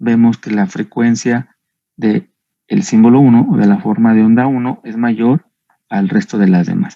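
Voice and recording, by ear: A man talks at a fairly low pitch in a dark, mellow tone with vocal fry. His intonation stays fairly even. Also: moderate pace.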